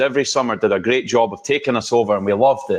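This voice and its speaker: With an energetic tone and a Scottish accent, a man speaks at a medium pitch and a very fast pace. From Scotland. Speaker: holiday lighting business owner. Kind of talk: podcast interview.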